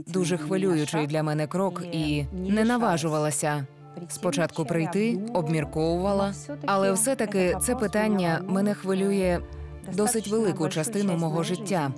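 Over clear background music, a woman speaks at a moderate pace with ordinary pitch variation, and the sound is dry with no echo. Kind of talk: personal account in a consultation. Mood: emotional, grieving. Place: home room. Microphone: lapel.

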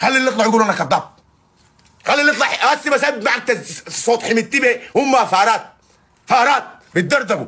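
In a Sudanese accent, a man uses a raised, projected voice at an extremely high pitch, with an animated tone, ordinary pitch variation, very even loudness, a moderate pace and long, frequent pauses. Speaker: online activist. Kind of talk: live stream monologue. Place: home room. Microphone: phone near.

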